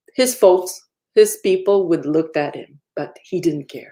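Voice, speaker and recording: A woman at medium pitch with a slight French accent, fairly slow pace and ordinary pitch variation. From Quebec, Innu and Quebecois parents. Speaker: activist and commissioner. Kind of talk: keynote lecture. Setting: virtual lecture. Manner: halting.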